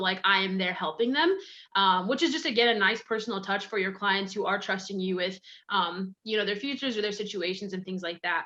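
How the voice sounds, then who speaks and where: Moving at a very fast pace, this speech has a bright, sharp tone. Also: woman. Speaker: marketing coach for financial advisors. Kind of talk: webinar presentation. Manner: animated.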